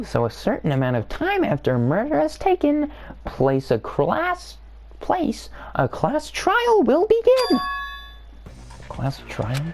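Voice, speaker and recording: Over light background noise, a put-on character voice moves at a fairly slow pace with long, frequent pauses. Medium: actual play. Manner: gleeful, mocking.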